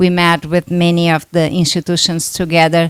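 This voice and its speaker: A woman with a Brazilian Portuguese accent, fairly low in pitch and at a moderate pace, in a dry, close sound with no echo, with music in the background. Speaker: doctor, workshop moderator. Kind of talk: conference talk.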